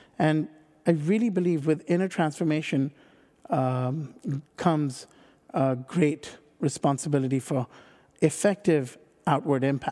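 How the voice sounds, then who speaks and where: Against a quiet background, a man with a dark, mellow tone and a fairly high pitch speaks at a fairly slow pace, with ordinary pitch variation and long, frequent pauses. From India. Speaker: social entrepreneur. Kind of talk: interview conversation. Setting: studio.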